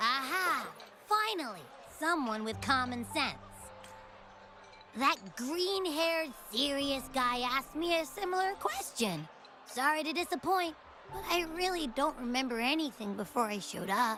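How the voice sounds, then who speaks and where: A female-sounding voice puts on a high-pitched character voice at a moderate pace, with long, frequent pauses and clear background noise. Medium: video game. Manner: chatty, childish, excitable.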